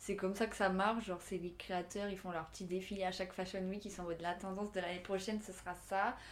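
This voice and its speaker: Delivered at a very fast pace with hardly any pauses, the speech stays monotone and flat. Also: woman, medium pitch for a woman. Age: 20s. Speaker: fashion student. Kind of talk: casual chat.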